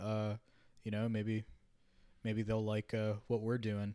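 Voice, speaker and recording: A man is speaking here. He has an American accent. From Minnesota, US Midwest. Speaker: podcast host. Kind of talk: scripted intro; casual chat.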